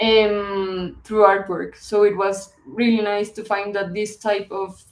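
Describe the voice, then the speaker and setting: A woman with a Spanish accent speaks very slowly at medium pitch in a monotone, flat delivery with big swings in loudness. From Colombia. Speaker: visual artist and publisher. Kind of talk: interview. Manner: halting.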